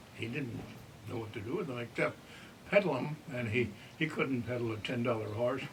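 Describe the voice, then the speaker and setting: Over noticeable background noise, a man with an American accent talks at a fairly quick pace and medium pitch, using ordinary pitch variation and long, frequent pauses. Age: 90s. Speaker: elderly storyteller. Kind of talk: interview reminiscence.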